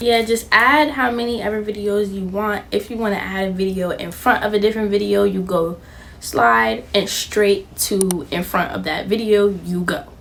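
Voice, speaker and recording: Over noticeable background noise and audible room echo, a woman with an animated tone and lively intonation talks at a moderate pace and medium pitch. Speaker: YouTuber. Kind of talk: tutorial. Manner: stutters, says um a lot; casual, animated.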